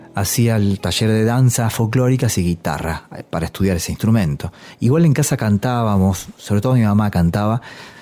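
Dark and mellow in tone, a man speaks at a moderate pace with ordinary pitch variation. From Argentina, La Pampa and various provinces. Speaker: musician and teacher. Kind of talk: documentary interview. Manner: halting, many repetitions and fillers.

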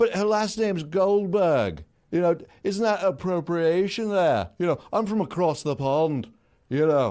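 Speaking with a Liverpool accent, a man with a high pitch and a dark, mellow tone talks fairly slowly with lively intonation and very even loudness, on a very clean recording with a silent background. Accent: Liverpool, exaggerated. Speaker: comedian. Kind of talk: infomercial parody. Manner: salesy, upbeat, chirpy.

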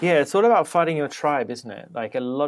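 The speaker has a British accent. The pace is fairly quick. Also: man. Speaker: podcast host. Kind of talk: casual interview.

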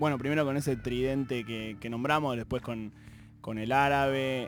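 A man with a plain, everyday voice speaks at a medium pitch and moderate pace with fairly even intonation. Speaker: radio host. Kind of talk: casual interview.

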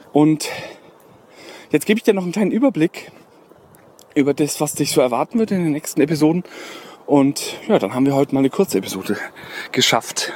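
A man talks at a very fast pace and a fairly high pitch, broken by long, frequent pauses. The recording is dry and close with no echo, but has noticeable background noise. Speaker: podcast host. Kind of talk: solo podcast monologue. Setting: outdoors, walking in the woods. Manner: frequent filler hesitations.

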